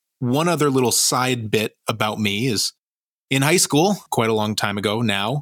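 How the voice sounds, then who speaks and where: A man with an ordinary speaking voice at medium pitch, a fairly quick pace and ordinary pitch variation, on a very clean recording with a silent background and a dry, close sound with no echo. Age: 20s. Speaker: board game podcast co-host. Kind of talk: casual chat.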